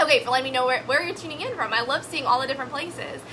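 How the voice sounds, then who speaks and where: A woman's raised, projected voice, high in pitch, with an animated tone and lively intonation over noticeable background noise. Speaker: network marketing coach. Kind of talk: live stream talk. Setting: live video broadcast. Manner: fast.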